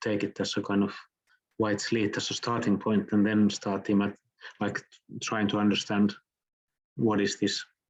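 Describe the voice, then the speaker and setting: Against a quiet background, a man with a fairly low pitch speaks at a moderate pace in a monotone, flat intonation. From southern Finland. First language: Finnish. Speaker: architect and professor. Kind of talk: lecture Q&A. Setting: online lecture.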